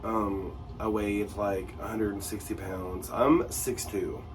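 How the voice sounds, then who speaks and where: Very slow, fairly low-pitched male speech in audible room echo. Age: 40s. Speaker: lifestyle vlogger. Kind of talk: personal vlog monologue. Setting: home bathroom. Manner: halting, many fillers.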